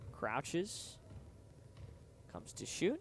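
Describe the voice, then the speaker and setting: A man speaks loudly. His pace is very slow. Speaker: student sports broadcaster. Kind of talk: live play-by-play commentary. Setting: studio.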